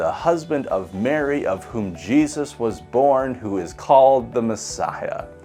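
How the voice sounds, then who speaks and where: The speaker has an American accent and a fairly slow pace. Music plays in the background. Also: man. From US Midwest. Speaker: pastor. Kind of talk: scripture reading.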